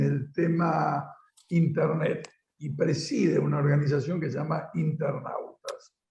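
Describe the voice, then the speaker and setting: A man's voice carries audible room echo. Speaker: political show host. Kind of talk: interview.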